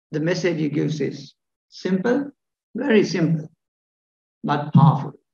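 In a dark, mellow tone with ordinary pitch variation, the speaker goes at a moderate pace with long, frequent pauses amid audible room echo. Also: man, fairly high pitch for a man. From Sri Lanka. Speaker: professor of surgery. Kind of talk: lecture. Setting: stage with audience. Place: hall. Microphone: podium.

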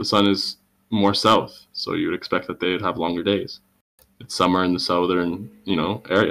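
With a very deep, low pitch, a man speaks at a moderate pace with fairly even intonation. He leaves long, frequent pauses over a quiet background. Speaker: debate participant. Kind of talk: heated debate. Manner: insistent questioner. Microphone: video call.

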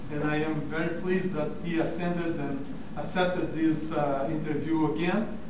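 Audible room echo and noticeable background noise surround this man. He talks at a fairly slow pace with a high pitch. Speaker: doctor, class interviewer. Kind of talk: interview questions. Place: hall. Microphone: camera far.

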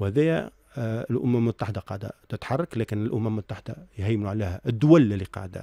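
In a dark, mellow tone, a man speaks at a fairly quick pace with ordinary pitch variation, the sound dry with no echo over a quiet background. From Tunisia. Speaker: accountant and university professor; university professor. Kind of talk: radio interview. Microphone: studio mic.

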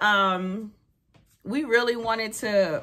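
A woman's fairly high, animated voice, bright and sharp in tone, with ordinary pitch variation. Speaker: vlogger and mom. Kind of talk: casual vlog chat. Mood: animated storytelling. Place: home room. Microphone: phone near.

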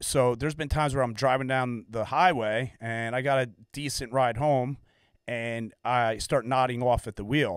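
A man speaks at a moderate pace. Behind him the background is quiet. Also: dry sound with no echo. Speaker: podcast host. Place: studio. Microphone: studio mic.

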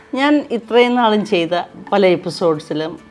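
With faint music in the background, a woman speaks. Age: 70s. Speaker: beauty and lifestyle vlogger. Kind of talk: casual talk to camera. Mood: warm, cheerful. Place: home room.

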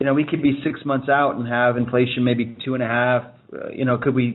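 A man at a fast pace, medium in pitch, with a slightly husky edge and little pitch movement.

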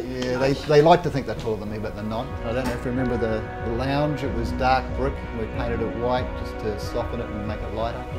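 Over loud music in the background, a man speaks at a very fast pace. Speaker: son in family video message. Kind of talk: home video message. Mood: warm, slightly hesitant. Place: kitchen. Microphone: camera far.

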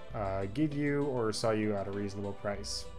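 Faint music plays in the background. A man talks with ordinary pitch variation. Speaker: streamer making a tutorial. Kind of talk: tutorial. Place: home room.

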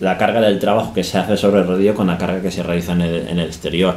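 A man is talking here. Echo from the room is audible. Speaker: cycling coach. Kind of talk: tutorial talk on indoor training. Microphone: phone near.

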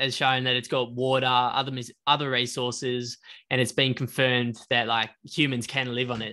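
This man speaks with an Australian accent. His pitch sits at a medium level. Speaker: podcast co-host. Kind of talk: casual chat.

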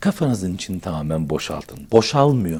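A somewhat breathy man swings his pitch very widely on a very clean recording with a silent background. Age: 40s. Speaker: YouTuber. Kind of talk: casual monologue to camera. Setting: indoors by a fireplace. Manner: conversational, animated.

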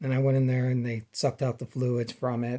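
Against a quiet background, a man talks at a medium pitch in a dark, mellow tone with monotone, flat intonation. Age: 40s. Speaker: vlogger sharing personal illness story. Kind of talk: personal testimony monologue. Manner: halting, many fillers. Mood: calm, earnest. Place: home room. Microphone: phone near.

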